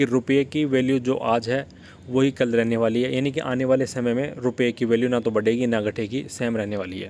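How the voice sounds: The delivery moves at a fairly quick pace, with fairly even intonation and a slightly mellow tone. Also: man.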